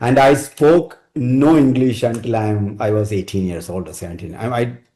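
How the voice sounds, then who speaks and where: A dark, mellow tone carries a Keralan accent, with ordinary pitch variation. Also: man. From India, Kerala. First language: Malayalam. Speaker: technology architect. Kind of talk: podcast interview. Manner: halting, with restarts.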